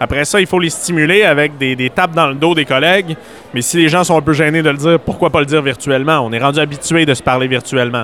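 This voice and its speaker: Through noticeable background noise, a man talks at a very fast pace with a fairly high pitch. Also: ordinary pitch variation. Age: 20s. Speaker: entrepreneur and conference speaker. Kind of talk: radio interview.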